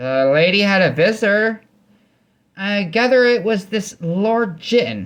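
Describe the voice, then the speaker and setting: A man puts on a character voice pitched high. He speaks at a fairly slow pace. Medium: read story. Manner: folksy, teasing.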